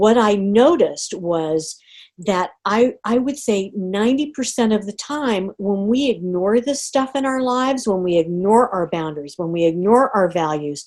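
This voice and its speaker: This woman has a medium pitch and lively intonation. She speaks with hardly any pauses. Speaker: life coach and trainer. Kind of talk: live online course coaching session. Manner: slow, deliberate.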